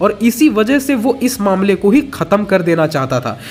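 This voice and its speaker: Swinging very widely in pitch, a man speaks at a fairly slow pace. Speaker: YouTube movie explainer. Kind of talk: scripted narration.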